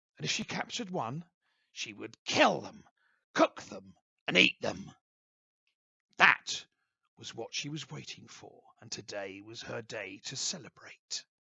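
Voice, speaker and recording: Using a put-on character voice, a man speaks raspily at medium pitch and a fairly slow pace. His loudness swings widely, and he takes long, frequent pauses. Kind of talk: bedtime story. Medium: read story.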